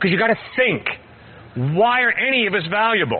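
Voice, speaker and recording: A man speaks at a high pitch with lively intonation and an animated tone. His pace is moderate, and there is noticeable background noise. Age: 60s. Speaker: campus evangelist. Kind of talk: open-air Q&A with students.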